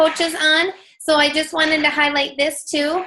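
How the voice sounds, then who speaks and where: An animated woman's raised, projected voice, extremely high in pitch, bright and sharp in tone, at a moderate pace. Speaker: fitness coach team leader. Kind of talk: team training call. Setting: group call.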